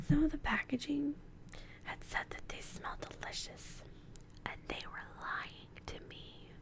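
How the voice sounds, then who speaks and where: Playful whispering at a very slow pace, over noticeable background noise. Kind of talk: ASMR role-play, soft-spoken talk to camera. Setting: studio, binaural microphone. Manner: soft-spoken, playful, whispery.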